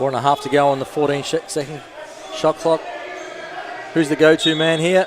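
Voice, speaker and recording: Delivered at a fairly quick pace in an Australian accent, the speech has fairly even intonation and long, frequent pauses. Noticeable background noise runs underneath. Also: man, fairly high pitch for a man. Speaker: basketball commentator. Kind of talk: live commentary.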